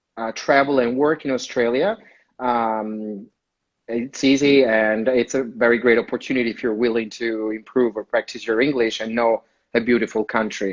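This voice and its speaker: With an Italian accent, a man talks at a moderate pace in a medium pitch, his intonation fairly even. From Italy (Rome). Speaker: community manager. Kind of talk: interview. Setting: Instagram live video call.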